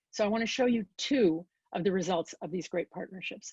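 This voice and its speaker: Her somewhat breathy voice carries an American accent, and the sound is dry and close with no echo. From Chicago area, US Midwest. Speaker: design and innovation consultant. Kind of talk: guest lecture. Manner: animated.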